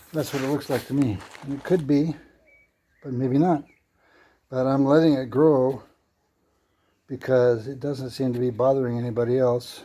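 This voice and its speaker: At a moderate pace with long, frequent pauses, a man speaks in a dark, mellow tone at medium pitch, his intonation fairly even. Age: 70s. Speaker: vlogger. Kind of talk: casual home-project vlog narration. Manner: casual, halting.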